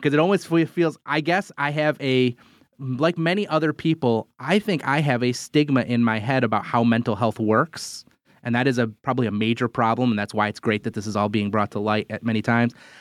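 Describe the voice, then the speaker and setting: This man has a plain, everyday voice, medium in pitch with ordinary variation, at a fairly quick pace. The recording is very clean with a silent background and a dry, close sound with no echo. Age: 40s. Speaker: podcast host. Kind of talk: casual chat.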